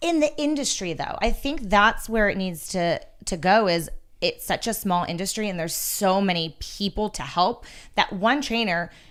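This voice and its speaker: In a very clean recording with a silent background, a woman with a normal speaking voice talks at a moderate pace with lively intonation. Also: medium pitch for a woman. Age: 40s. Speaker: personal trainer and gym owner. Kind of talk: casual chat.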